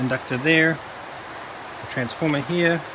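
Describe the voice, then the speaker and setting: Soft-spoken male voice with fairly even intonation, audible room echo and noticeable background noise. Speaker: electronics scrapping hobbyist. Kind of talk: tutorial.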